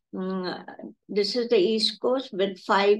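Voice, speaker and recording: At a fairly slow pace, a woman speaks in a normal speaking voice. Her pitch shows ordinary variation. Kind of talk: conference talk.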